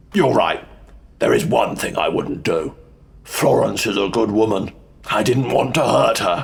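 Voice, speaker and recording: In a put-on character voice, the speaker sounds raspy, moving at a moderate pace with long, frequent pauses. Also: man, medium pitch for a man. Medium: audio drama. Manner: cool, controlled.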